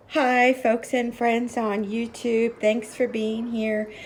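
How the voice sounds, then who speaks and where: Clearly audible background noise behind a woman's fairly high-pitched voice. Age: 60s. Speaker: lifestyle vlogger. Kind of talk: casual home vlog. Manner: halting, many fillers.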